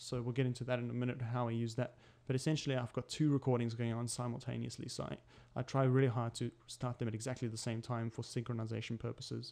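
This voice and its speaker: Very fast and fairly even in intonation, a man's voice has a dark, mellow tone at a medium pitch. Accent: slight non-native. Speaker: tutorial maker. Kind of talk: tutorial. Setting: home desk recording setup.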